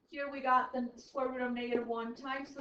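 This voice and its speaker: A woman's high, raised, projected voice at a moderate pace, with monotone, flat intonation. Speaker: high school math teacher. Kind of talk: classroom lecture.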